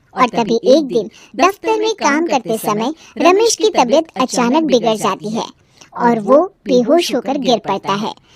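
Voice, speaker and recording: Using a cartoonish character voice, a woman speaks at a moderate pace in a high pitch with very wide pitch swings, and the sound is dry and close with no echo. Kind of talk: moral story narration. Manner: steady, explanatory.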